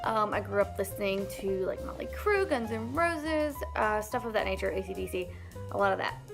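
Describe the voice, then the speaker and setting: A woman talks fairly quickly while music runs underneath. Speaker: storytime vlogger. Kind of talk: casual storytime talk to camera.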